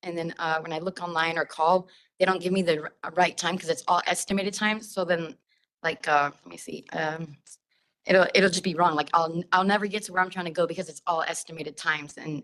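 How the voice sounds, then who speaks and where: The voice moves at a fairly quick pace with fairly even intonation but big swings in loudness. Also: woman, fairly low pitch for a woman. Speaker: public commenter at transit meeting. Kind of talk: public comment. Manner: fast.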